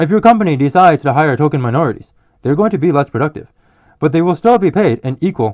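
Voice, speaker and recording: Mumbling at a very fast pace, a man lets his pitch swing very widely. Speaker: vlogger. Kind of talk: opinion monologue.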